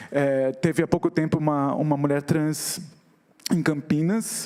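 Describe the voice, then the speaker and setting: A man speaks here. His pitch sits fairly high. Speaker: activist and visual artist. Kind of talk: talk on stage. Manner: fast.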